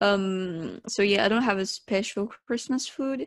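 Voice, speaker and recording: The speaker has a non-native accent and ordinary pitch variation. The sound is dry and close, with no echo. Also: woman. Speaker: podcast co-host. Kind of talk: casual chat. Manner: animated.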